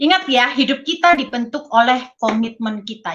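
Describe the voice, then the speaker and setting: Her tone is bright and sharp. The woman's intonation is lively. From Indonesia, Surabaya (East Java). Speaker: network marketing leader and motivational speaker. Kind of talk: motivational talk. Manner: casual, conversational.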